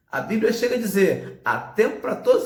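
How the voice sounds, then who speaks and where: A man's voice swings very widely in pitch. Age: 40s. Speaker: pastor. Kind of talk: sermon.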